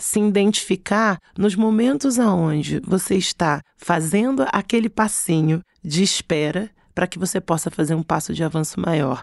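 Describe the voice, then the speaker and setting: An unremarkable speaking voice from a woman at a medium pitch, with lively intonation at a moderate pace, in a dry, close sound with no echo and a quiet background. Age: 40s. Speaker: creative director. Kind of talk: casual interview chat.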